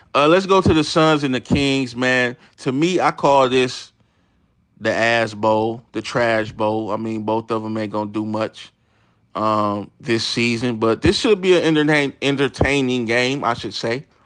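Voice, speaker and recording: This very clean recording has a silent background. A man talks fairly slowly at a medium pitch with ordinary pitch variation. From Detroit, Michigan, US. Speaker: sports livestreamer. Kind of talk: casual livestream chat reading comments. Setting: live stream. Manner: intense, sounds like yelling.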